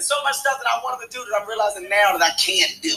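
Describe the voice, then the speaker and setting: Raising and projecting his voice, a man speaks at a very fast pace in an animated tone. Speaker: stand-up comedian. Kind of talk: stand-up. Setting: stage with audience.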